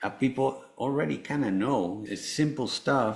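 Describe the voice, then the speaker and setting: Here a man speaks with a Spanish accent. His pace is moderate and his pitch variation ordinary. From Venezuela, Caracas. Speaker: cancer survivor and author. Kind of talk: interview testimony. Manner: halting, many fillers.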